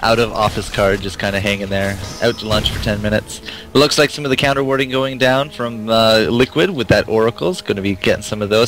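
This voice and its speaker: Over music in the background, a man talks at a fairly quick pace with a medium pitch and ordinary pitch variation. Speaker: esports caster. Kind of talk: live commentary. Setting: live stream.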